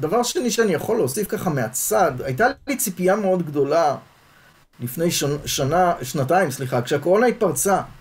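A man speaks in a high-pitched voice at a moderate pace. His pitch swings very widely. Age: 60s. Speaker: sociology professor. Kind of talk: interview conversation.

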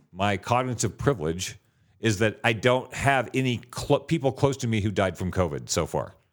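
Medium-pitched male voice with vocal fry, an animated tone, lively intonation, and a moderate pace, on a very clean recording with a silent background. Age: 50s. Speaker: podcast co-host. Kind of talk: casual chat.

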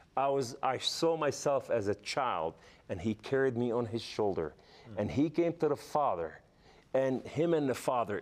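A man with an Arabic accent at a moderate pace, very wide pitch swings, on a very clean recording with a silent background. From Lebanon. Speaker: former militant turned evangelist. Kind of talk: testimony. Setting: studio. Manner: halting.

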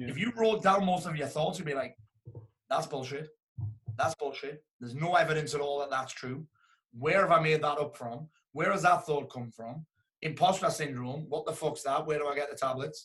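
An unremarkable speaking voice from a man, fairly high in pitch, at a moderate pace with ordinary pitch variation. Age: 40s. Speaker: motivational speaker and business coach. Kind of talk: casual chat.

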